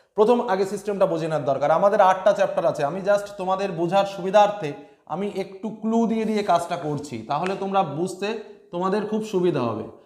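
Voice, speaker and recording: A man speaks in a high voice with ordinary pitch variation, and the room echo is audible. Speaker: teacher. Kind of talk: tutorial. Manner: calm, not loud. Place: home room. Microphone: lapel.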